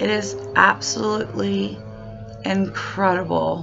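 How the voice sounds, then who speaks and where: Music is heard in the background. Over it, a woman talks at a very slow pace. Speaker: product demonstrator. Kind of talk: product demo. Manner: hesitant, with fillers.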